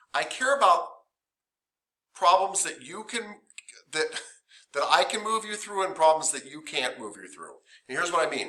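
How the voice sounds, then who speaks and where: A high-pitched man projects his raised voice with lively intonation at a moderate pace, leaving long, frequent pauses. His loudness swings widely, and room echo is audible. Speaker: massage therapy instructor. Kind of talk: lecture. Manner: casual, conversational.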